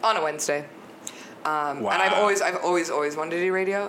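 Noticeable background noise sits behind this recording. A woman speaks at a moderate pace. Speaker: podcast guest; DJ and radio show host. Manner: casual, enthusiastic.

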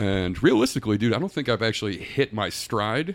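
A man's fairly low, fairly quick, plain, everyday voice on a very clean recording with a silent background. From Texas. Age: 30s. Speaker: hospitality industry worker. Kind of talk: casual chat.

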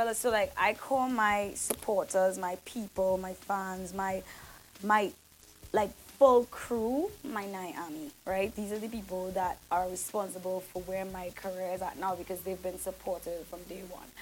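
A woman at a fairly slow pace, medium-pitched, with big swings in loudness. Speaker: singer and soca artist. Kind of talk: casual interview chat. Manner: animated, chatty, relaxed, filler-heavy.

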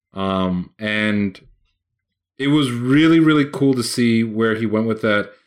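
A man's medium-pitched voice at a very slow pace, on a very clean recording with a silent background. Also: ordinary pitch variation. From Puerto Rico. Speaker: podcast host. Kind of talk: casual chat.

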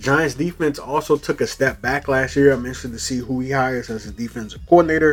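Music plays behind a man with an American accent who talks in an animated tone at a very fast pace, with hardly any pauses and a medium pitch. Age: 20s. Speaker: sports podcast host. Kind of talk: casual sports talk monologue.

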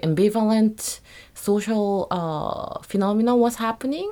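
A woman with a Korean accent, medium in pitch, at a moderate pace with ordinary pitch variation. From South Korea. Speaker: multidisciplinary artist. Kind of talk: interview.

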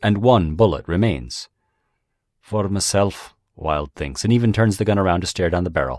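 A man with a very deep, low pitch speaks at a moderate pace with vocal fry. His tone is dramatic and his intonation lively. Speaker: audiobook narrator reading fiction. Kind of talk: dramatic narration of a zombie story, reading aloud. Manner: dramatic, suspenseful, vividly voiced, with character voices for quoted dialogue.

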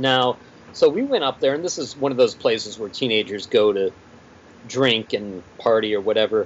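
An ordinary speaking voice in an American accent, at a moderate pace with ordinary pitch variation. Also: man, medium pitch for a man. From Pittsburgh, Pennsylvania. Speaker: comic book writer and musician. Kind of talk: casual interview chat.

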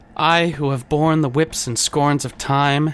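A put-on character voice hisses. It moves at a fairly slow pace. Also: man, fairly high pitch for a man. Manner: hissing, pained yet confident.

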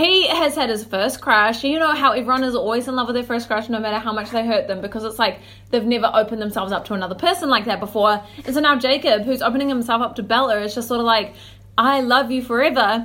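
A woman talks at a very fast pace in an animated tone, her fairly high pitch showing ordinary variation. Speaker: podcast co-host. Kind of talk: casual chat.

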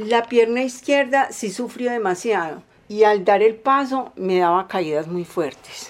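A woman talks in a plain, everyday voice, her pitch fairly high. Her intonation is lively and her pace fairly slow. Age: 50s. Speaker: polio survivor. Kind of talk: testimony.

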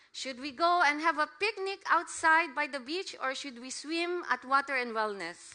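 A woman with a high voice projects it loudly, speaking at a moderate pace with lively intonation. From Philippines. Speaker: missionary preacher. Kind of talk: sermon. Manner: halting.

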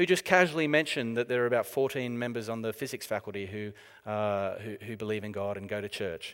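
Recorded very cleanly with a silent background, the voice carries an Australian accent and ordinary pitch variation. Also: man. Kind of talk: talk to a church audience. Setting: church with live audience.

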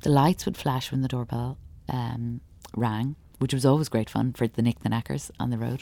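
In an Irish accent, a woman with a very deep, low pitch speaks at a moderate pace with fairly even intonation. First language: Irish Sign Language. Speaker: performance artist and sign language interpreter. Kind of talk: interview. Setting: theatre.

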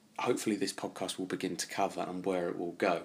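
Here a man speaks with an English accent in a bright, sharp tone. His pace is fairly quick. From England. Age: 20s. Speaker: travel and history podcaster. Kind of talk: solo podcast monologue.

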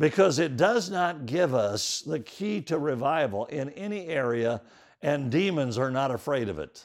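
This man has a plain, everyday voice, pitched fairly high, moving at a fairly slow pace with lively intonation. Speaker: preacher. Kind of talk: sermon, Bible teaching. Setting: live church teaching to a congregation. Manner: earnest, instructive, expository; fervent, shifting into prayer.

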